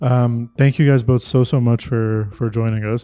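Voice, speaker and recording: A man with a Canadian accent speaks in a medium-pitched voice with a dark, mellow tone and monotone, flat intonation. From Canada. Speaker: podcast host and tech editor. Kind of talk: interview.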